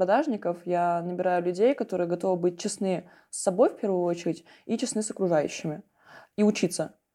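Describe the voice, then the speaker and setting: At a fairly quick pace, a woman speaks with a medium pitch, a dark, mellow tone and ordinary pitch variation against a quiet background. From Russian small town. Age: young. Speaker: business broker. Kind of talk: interview.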